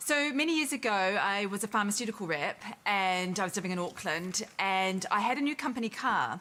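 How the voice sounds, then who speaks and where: A woman with a New Zealand accent talks at a moderate pace with lively intonation. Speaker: audience member telling a story, oncology nurse. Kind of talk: anecdote told on a TV chat show. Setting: TV studio with audience.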